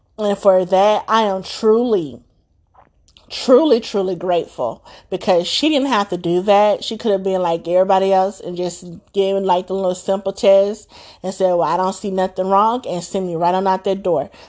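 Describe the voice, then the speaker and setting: Against a quiet background, a woman speaks at a moderate pace with a medium pitch and ordinary pitch variation in an unremarkable speaking voice. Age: 30s. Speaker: podcast host sharing motherhood experiences. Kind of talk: personal monologue.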